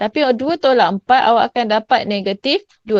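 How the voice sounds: A woman speaks at a fairly high pitch with ordinary pitch variation in a dry, close sound with no echo.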